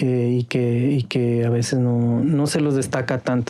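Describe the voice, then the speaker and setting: A man's dark, mellow tone at a very slow pace. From Ecuador, Carchi province. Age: 40s. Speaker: former newspaper editor. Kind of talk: podcast interview.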